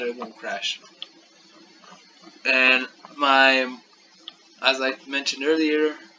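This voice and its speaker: A man speaking at a fairly slow pace over noticeable background noise. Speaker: student. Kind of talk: class project presentation. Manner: monotone.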